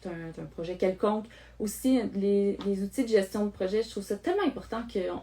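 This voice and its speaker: Spoken with a Quebec accent at a very fast pace, the voice moves through ordinary pitch variation. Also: woman. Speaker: online course creator, project management coach. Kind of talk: live stream talk to viewers. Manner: halting, many fillers.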